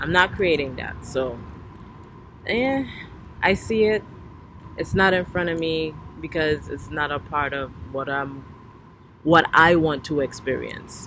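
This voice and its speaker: With a Trinidadian accent and a very deep, low pitch, a woman talks in a relaxed tone at a fairly slow pace, her pitch varying in an ordinary way, with long, frequent pauses. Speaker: spiritual vlogger. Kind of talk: casual monologue. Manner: relaxed, conversational.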